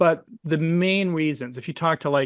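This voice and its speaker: A man with an ordinary speaking voice, a moderate pace and ordinary pitch variation, recorded dry and close with no echo against a quiet background. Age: 60s. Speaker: naturopathic physician and supplement product developer. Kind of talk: interview. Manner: conversational with fillers.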